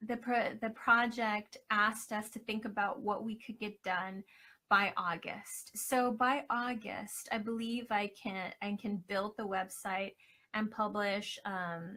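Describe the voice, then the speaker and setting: Soft-spoken and bright with a sharp tone, a woman talks at a very slow pace with fairly even intonation on a very clean recording with a silent background. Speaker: scholarship finalist, academic and triathlete. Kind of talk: live video Q&A presentation. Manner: hesitant, many fillers.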